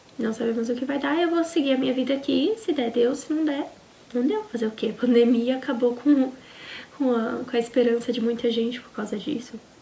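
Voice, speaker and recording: A fairly quick voice in a Brazilian accent, ordinary pitch variation, and noticeable background noise. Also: woman, high pitch for a woman. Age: 20s. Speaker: au pair vlogger. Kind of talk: casual personal vlog storytelling.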